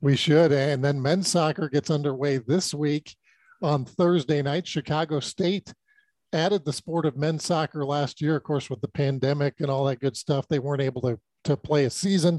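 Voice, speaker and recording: A man with a plain, everyday voice and fairly high pitch talks at a moderate pace with fairly even intonation, in a dry, close sound with no echo and a quiet background. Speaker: podcast host. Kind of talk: interview, conversational.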